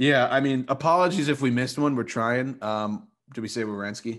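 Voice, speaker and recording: A man speaks at a fairly quick pace, his medium pitch moving with ordinary variation. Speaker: hockey podcast co-host. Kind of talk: casual chat. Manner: halting.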